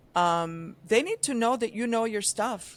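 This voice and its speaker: A woman speaks in a plain, everyday voice with ordinary pitch variation, on a very clean recording with a silent background. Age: 60s. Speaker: advertising veteran, agency founder. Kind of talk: podcast interview. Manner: conversational, many filler ums.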